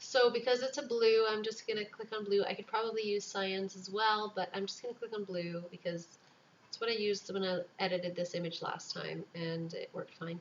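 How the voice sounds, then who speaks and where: A soft-spoken woman at a fairly quick pace, with fairly even intonation. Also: medium pitch for a woman. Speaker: newborn photographer making tutorials. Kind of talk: tutorial. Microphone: microphone a little ways away, quiet.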